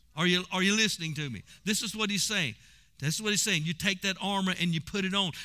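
A man with a high pitch talks at a very fast pace in a raised, projected voice. His tone is animated, bright and sharp. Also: ordinary pitch variation. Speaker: pastor. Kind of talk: sermon; prayer. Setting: church; broadcast to radio/online audience. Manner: animated, exhorting, call-and-response; laughing, conversational preaching.

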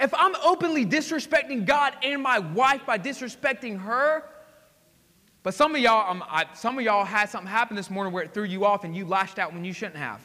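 In a raised, projected voice, a man speaks at a high pitch and a fairly quick pace with an animated tone. His pitch swings very widely and his loudness varies a lot. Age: 20s. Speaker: pastor. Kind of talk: sermon. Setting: church.

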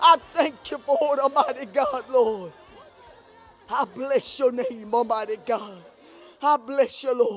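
Against noticeable background noise, a man with an extremely high pitch and ordinary pitch variation speaks at a very slow pace with long, frequent pauses. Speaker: congregant leading prayer. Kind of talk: prayer. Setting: church.

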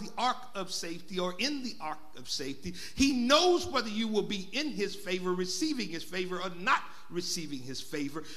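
A man speaks in a raised, projected voice with an animated tone and very wide pitch swings, over noticeable background noise. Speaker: pastor. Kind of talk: sermon. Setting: church.

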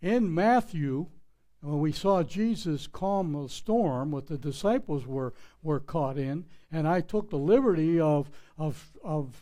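In an American accent, a man talks at a very slow pace with a fairly high pitch and a dark, mellow tone. His intonation is lively, and audible room echo surrounds him. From Pittsburgh, Pennsylvania. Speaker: pastor. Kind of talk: sermon. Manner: plain, not eloquent.

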